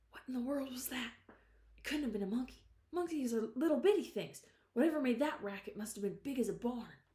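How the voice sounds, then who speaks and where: Whispering at a very fast pace, a woman puts on a shaky character voice. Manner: quavering, frightened.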